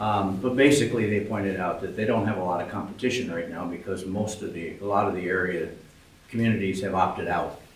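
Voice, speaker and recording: A man with a fairly low pitch talks very fast with fairly even intonation, amid audible room echo and noticeable background noise. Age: 80s+. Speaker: public commenter, retired pharmacist. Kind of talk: public comment at a village board meeting. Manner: halting, with many fillers.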